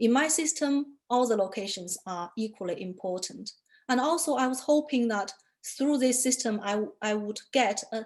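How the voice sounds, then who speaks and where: At a moderate pace, a woman with a Chinese accent talks in a high voice with lively intonation. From China. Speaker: artist photographer. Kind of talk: interview talk about own work. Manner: hesitant, many fillers.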